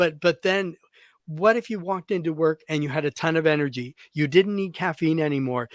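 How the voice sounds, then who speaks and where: In a very clean recording with a silent background and a dry, close sound with no echo, a man with a normal speaking voice talks at a fairly quick pace, his pitch fairly high with ordinary variation. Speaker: hairstylist and podcast host. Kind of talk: casual podcast chat.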